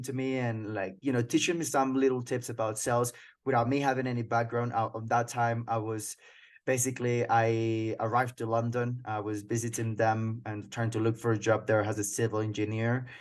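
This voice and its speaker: Speaking in a Colombian accent, a man with a medium pitch keeps a monotone, flat intonation at a moderate pace against a quiet background. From Colombia (Cucuta, near Venezuelan border). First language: Spanish. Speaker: sales manager. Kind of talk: interview. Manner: halting.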